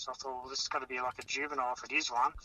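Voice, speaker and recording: This man talks with an Australian accent. His delivery is monotone, with flat intonation. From Tasmania. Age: 40s. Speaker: eyewitness. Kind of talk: phone interview recounting.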